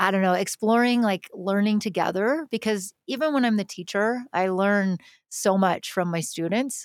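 A woman's unremarkable speaking voice at medium pitch and a moderate pace, with very even loudness, ordinary pitch variation, and a dry, close sound with no echo. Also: very clean recording, silent background. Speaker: music producer and educator. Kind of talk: casual interview chat about music production.

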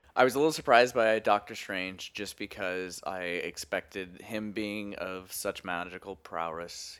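A man with a Canadian accent speaks at a moderate pace on a very clean recording with a silent background. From Edmonton, Canada. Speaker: guest. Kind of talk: casual chat.

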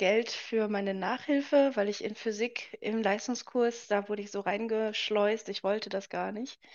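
This woman has a plain, everyday voice. Her pitch is fairly high. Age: 20s. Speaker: author and entrepreneur. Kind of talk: casual interview chat.

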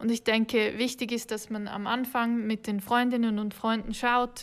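The speech is monotone and flat at a fairly slow pace, on a very clean recording with a silent background. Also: woman. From Switzerland. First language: Swiss German (speaking German). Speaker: hotel marketing worker. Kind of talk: casual interview.

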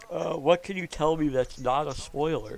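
Using a plain, everyday voice, a man talks at a fairly high pitch. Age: 20s. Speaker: podcast host. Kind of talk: casual chat.

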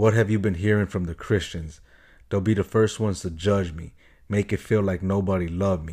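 A man's fairly low, somewhat breathy voice with a dark, mellow tone and an American accent, fairly quick and fairly even in intonation, on a very clean recording with a silent background. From Chicago. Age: 30s. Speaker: podcast host. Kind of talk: casual solo podcast monologue. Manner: halting, many fillers and repeats.

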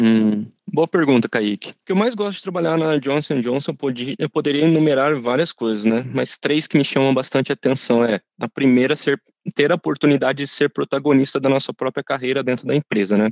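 A man with an unremarkable speaking voice speaks at a fairly quick pace and fairly high pitch, with ordinary pitch variation and a dry, close sound with no echo. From Brazil, São José dos Campos (São Paulo state). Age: 30s. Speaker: intern in career transition. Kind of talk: corporate podcast interview.

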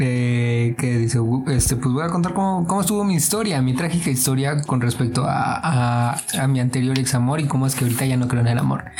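A man's medium-pitched voice with a Mexican accent, fairly quick, with ordinary pitch variation and very even loudness, plus noticeable background noise and audible room echo. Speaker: podcast host. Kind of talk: casual chat. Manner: animated.

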